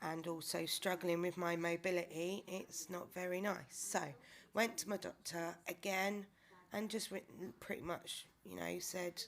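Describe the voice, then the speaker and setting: Speaking with a British accent, a woman has a fairly low pitch. Her pace is fairly slow and her intonation monotone and flat. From UK. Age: 30s. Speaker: vlogger. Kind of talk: personal video diary. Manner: hesitant, with many fillers.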